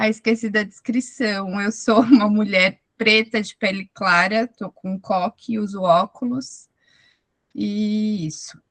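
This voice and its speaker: In a dry, close sound with no echo, a woman speaks very slowly at a medium pitch with fairly even intonation. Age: 30s. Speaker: self-employed lawyer and mother. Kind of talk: testimony in online support meeting.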